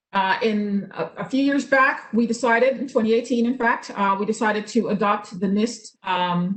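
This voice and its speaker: With fairly even intonation, a woman talks at a fairly high pitch. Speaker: state government cybersecurity official. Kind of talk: presentation. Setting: video call. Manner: fast; hesitant fillers.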